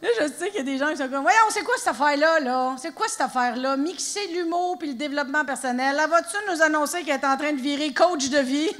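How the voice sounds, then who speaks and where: A woman's high voice at a very fast pace, with lively intonation and an energetic, playful tone amid noticeable background noise. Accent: Quebec. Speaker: stand-up comedian. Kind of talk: live stand-up comedy performance. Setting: live theatre audience.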